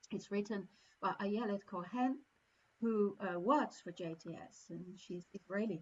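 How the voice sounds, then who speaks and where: At a fairly slow pace, a woman with a somewhat breathy voice speaks at a medium pitch with ordinary pitch variation. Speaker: service leader. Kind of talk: sermon. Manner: halting.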